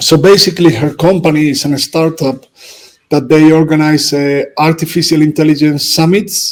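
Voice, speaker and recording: A man's fairly high voice with a Spanish accent. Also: fairly even intonation, moderate pace. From Spain. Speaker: football coach. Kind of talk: casual chat. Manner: halting.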